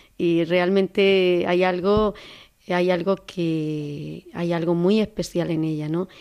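Very slowly and in a flat monotone, a woman speaks with a fairly low pitch. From Andalusia, Córdoba. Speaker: nun. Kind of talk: testimony. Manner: halting.

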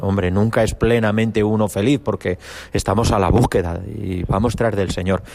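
In an ordinary speaking voice, a man with a fairly low pitch talks at a moderate pace with fairly even intonation. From Spain, Cuenca. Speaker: priest, seminary spiritual director. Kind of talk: testimony.

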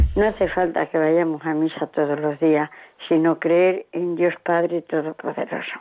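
A woman's monotone, flat delivery at a fairly slow pace. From Spain, Salamanca province. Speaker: radio listener caller. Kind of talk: phone-in testimony. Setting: phone call.

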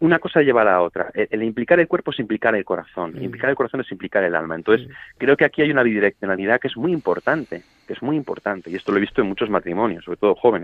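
Very fast delivery with very wide pitch swings. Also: man, medium pitch for a man. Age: 30s. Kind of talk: radio interview.

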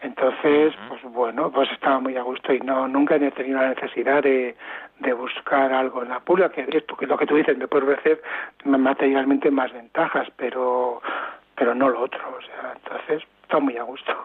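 Speaking at a moderate pace over noticeable background noise, a man keeps his medium-pitched voice monotone and flat. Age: 60s. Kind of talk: interview. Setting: phone call.

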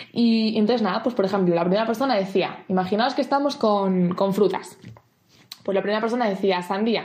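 Talking at a fairly quick pace, a woman with a plain, everyday voice keeps a very even loudness and ordinary pitch variation. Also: medium pitch for a woman. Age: 20s. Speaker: camp mentor. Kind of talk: prepared talk.

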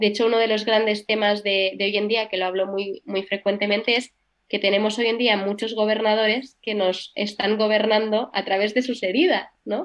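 The delivery is monotone, with flat intonation and hardly any pauses. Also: woman, fairly high pitch for a woman, moderate pace. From Barcelona, Spain. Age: young. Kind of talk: radio interview testimony.

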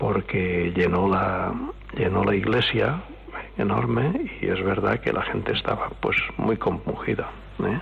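Keeping very even loudness, a man speaks at a fairly slow pace against noticeable background noise. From Oliva, Valencia region, Spain. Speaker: witness. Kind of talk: radio interview.

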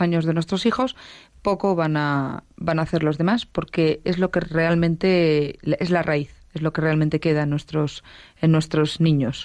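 A woman speaks at a moderate pace with a fairly low pitch and an ordinary speaking voice. The recording is very clean, with a silent background. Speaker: teacher. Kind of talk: radio talk show. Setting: studio.

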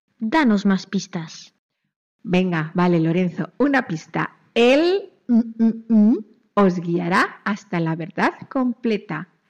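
A woman talks at a very slow pace, her intonation lively. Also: medium pitch for a woman. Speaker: children's radio presenter. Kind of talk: children's religious radio program. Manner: animated.

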